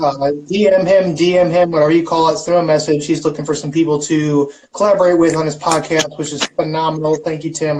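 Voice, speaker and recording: In an American accent, a man with a fairly high pitch talks very fast in a monotone, flat intonation. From St. Louis, Missouri. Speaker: livestream host. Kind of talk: casual chat. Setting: live stream.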